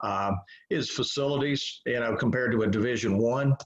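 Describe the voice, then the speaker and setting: A man with an unremarkable speaking voice talks fairly quickly, medium in pitch and ordinary in pitch variation. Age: 60s. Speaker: college baseball head coach. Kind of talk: interview.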